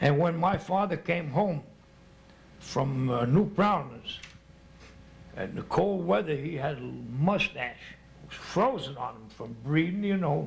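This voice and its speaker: With an American accent, a man talks at a fairly slow pace with long, frequent pauses, a fairly high pitch and lively intonation, over noticeable background noise. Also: big swings in loudness. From New Jersey. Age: 70s. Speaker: elderly local resident. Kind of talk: oral history interview. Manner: halting.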